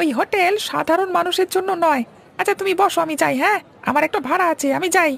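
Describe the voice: A man does a cartoonish character voice at an extremely high pitch and a fairly quick pace.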